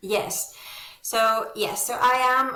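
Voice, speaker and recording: A woman's bright, sharp tone with audible room echo. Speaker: veterinarian, founder of online surgical training platform. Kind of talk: interview conversation. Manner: many fillers, hesitant.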